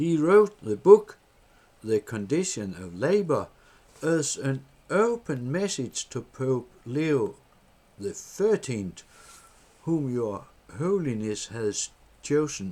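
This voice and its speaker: With a Danish accent, a man speaks at a very slow pace and medium pitch, his pitch swinging very widely and his loudness rising and falling sharply, with long, frequent pauses. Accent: Danish accent, non-native English. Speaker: political party member. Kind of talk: reading aloud a letter. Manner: halting.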